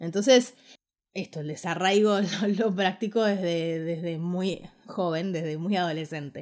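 A woman speaks at a fairly slow pace in a Rioplatense accent. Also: fairly low pitch for a woman, ordinary pitch variation. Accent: Argentine Rioplatense Spanish. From Argentina, Ushuaia, Tierra del Fuego. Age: 30s. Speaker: podcaster and online course creator. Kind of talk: casual monologue podcast.

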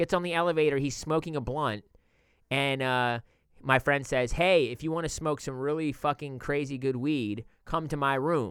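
Speaking at a moderate pace, a man with an ordinary speaking voice and a fairly high pitch shows ordinary pitch variation on a very clean recording with a silent background. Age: 40s. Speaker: podcast host. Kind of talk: casual chat.

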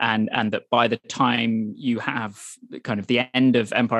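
A man with a Welsh accent speaks at a fairly quick pace and medium pitch in a monotone, flat intonation, with a dry, close sound with no echo and a quiet background. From Wales. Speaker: journalist and author. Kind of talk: interview. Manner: halting, many repetitions.

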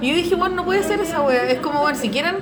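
A woman with a Chilean accent at a very fast pace, very wide pitch swings, audible room echo and noticeable background noise. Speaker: animation professional and guest co-host. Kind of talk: casual interview conversation.

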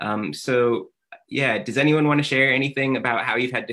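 A man's medium-pitched, unremarkable speaking voice with ordinary pitch variation. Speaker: educator and moderator. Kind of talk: moderated Q&A. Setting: video call with live audience.

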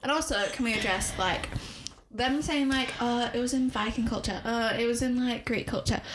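Noticeable background noise sits behind a woman with a high pitch and an animated tone. She keeps a moderate pace and very even loudness. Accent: Leeds. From Leeds, northern England. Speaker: podcast co-host. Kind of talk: casual chat. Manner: animated, joking.

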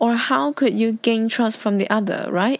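A woman with a non-native accent speaks at a fairly slow pace in a fairly high voice. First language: Cantonese. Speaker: podcaster. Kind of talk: casual solo talk.

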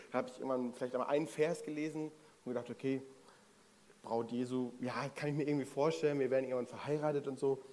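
His pitch runs fairly high. The man gets his words out at a very fast pace. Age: 30s. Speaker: preacher. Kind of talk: sermon. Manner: casual.

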